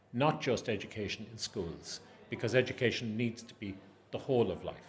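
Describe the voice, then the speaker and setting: Over noticeable background noise, a man with an Irish accent talks at a fairly quick pace. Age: 60s. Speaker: adult education academic. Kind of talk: interview.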